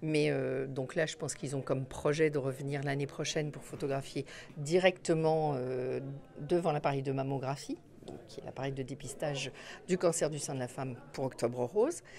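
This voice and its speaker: A woman talks at a fairly quick pace in a very deep, low pitch. Her intonation stays fairly even. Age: 60s. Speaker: hospital nurse manager. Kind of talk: interview. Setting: photo exhibition opening.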